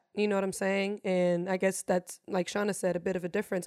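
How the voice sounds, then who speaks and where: A woman with a medium-pitched voice talks at a very fast pace in an animated tone. The recording is very clean, with a silent background. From Germany. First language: German. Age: 20s. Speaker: DJ and streamer. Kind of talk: casual chat.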